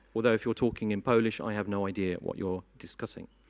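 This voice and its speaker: A medium-pitched man with a British accent on a very clean recording with a silent background. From Britain. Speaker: conference moderator. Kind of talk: conference opening speech. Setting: conference hall with audience.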